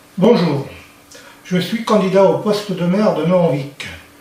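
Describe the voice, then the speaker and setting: Recorded with noticeable background noise and audible room echo, the voice moves at a fairly slow pace. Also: man. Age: 60s. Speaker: local election candidate. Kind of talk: campaign speech. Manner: formal.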